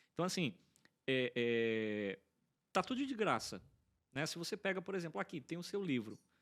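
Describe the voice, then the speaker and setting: A man speaks at a fairly high pitch, with very wide swings in pitch. He leaves long, frequent pauses. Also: moderate pace. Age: 30s. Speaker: podcast co-host. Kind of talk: casual chat. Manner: hesitant, many fillers.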